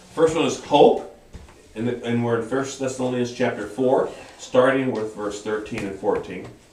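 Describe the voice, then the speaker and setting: A man's medium-pitched voice with ordinary pitch variation, amid noticeable background noise and audible room echo. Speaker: Bible study teacher. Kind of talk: Bible study lesson. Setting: church classroom, camera livestream. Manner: hesitant, many fillers.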